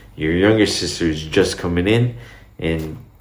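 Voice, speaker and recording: Very deep and low, this man's voice carries a Portuguese accent. Audible room echo surrounds it. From Brazil, Minas Gerais. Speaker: vlogger. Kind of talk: casual talk to camera. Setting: home recording, in Dubai. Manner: casual, rambling.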